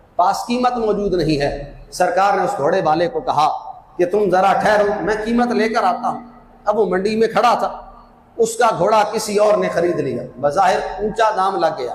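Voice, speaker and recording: A high-pitched male voice with ordinary pitch variation amid noticeable background noise. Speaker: Islamic scholar / mufti giving Friday sermon. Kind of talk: Urdu sermon narrating a story from early Islamic history. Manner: passionate, preaching.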